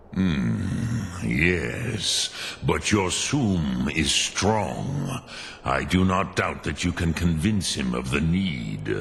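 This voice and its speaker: In a put-on character voice, the speaker moves at a very slow pace with very wide pitch swings over clear background noise. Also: man, very deep, low pitch for a man. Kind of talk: ceremonial, ancient speech mixed with dragon words. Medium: video game. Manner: slow, archaic, measured.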